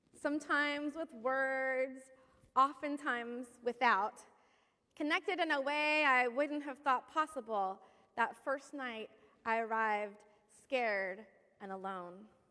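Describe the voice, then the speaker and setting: A woman with an American accent projects a raised, bright, sharp voice at a high pitch, speaking fairly slowly with long, frequent pauses. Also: lively intonation. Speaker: pastor. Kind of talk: sermon.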